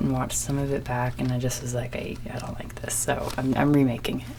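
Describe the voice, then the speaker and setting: Quiet and calm in tone, a woman speaks. Room echo is audible, and background noise is noticeable. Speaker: ASMR video maker. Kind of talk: ASMR show-and-tell. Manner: trying to speak calm and quiet; naturally energetic, excitable.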